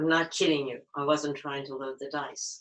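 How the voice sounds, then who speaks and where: In a strained, put-on character voice, the speaker talks at a moderate pace with a low-to-middle pitch. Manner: demonstrating a locked larynx.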